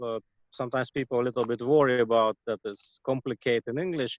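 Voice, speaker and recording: The sound is dry and close with no echo as a man speaks in a Russian accent. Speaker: shaman and healer. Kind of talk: interview. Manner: halting, many fillers.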